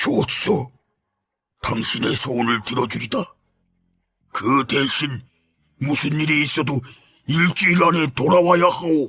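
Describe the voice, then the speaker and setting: A man puts on a raspy character voice at a fairly high pitch. He leaves long, frequent pauses. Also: fairly slow pace. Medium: read story. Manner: formal, archaic speech.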